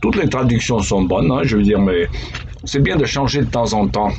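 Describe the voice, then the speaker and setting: Noticeable background noise and audible room echo accompany a man speaking with an American accent. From United States. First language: English (speaking French). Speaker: pastor. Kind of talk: devotional talk. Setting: office. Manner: conversational.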